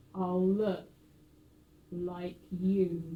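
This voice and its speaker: A woman whispers in a put-on character voice. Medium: stage play. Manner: whispering, menacing.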